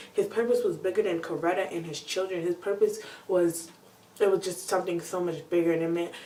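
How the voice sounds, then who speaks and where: Noticeable background noise sits behind a woman speaking. She has a medium pitch and ordinary pitch variation. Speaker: video blogger. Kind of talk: casual talk to camera. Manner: fast.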